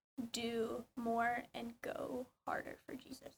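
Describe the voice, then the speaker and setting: Here a woman speaks at a high pitch. Her tone is bright and sharp. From Georgia. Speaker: student podcast co-host. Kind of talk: casual chat.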